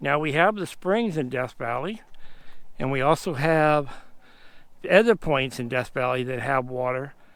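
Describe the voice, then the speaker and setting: Speaking at a moderate pace with long, frequent pauses, a man with a fairly high pitch and lively intonation is heard on a very clean recording with a silent background. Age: 60s. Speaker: outdoor vlogger. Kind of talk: casual vlog narration. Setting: outdoors. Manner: casual.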